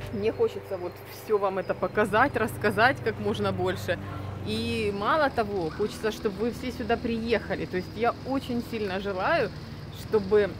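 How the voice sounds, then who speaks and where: Noticeable noise fills the background. The speaking pace is moderate. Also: woman. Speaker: vlogger. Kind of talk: casual vlog chat. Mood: warm, nostalgic. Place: street. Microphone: phone near.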